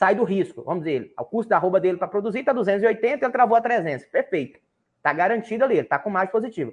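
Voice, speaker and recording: Very fast and lively in intonation, a man speaks at a high pitch. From Brazil, Minas Gerais–Bahia border. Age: 20s. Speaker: livestock market analyst. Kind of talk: interview.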